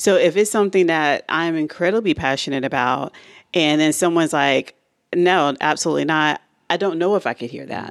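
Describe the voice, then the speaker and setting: A woman's plain, everyday voice, fairly low and fairly quick with ordinary pitch variation, on a very clean recording, silent background. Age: 40s. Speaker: podcast co-host. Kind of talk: casual chat.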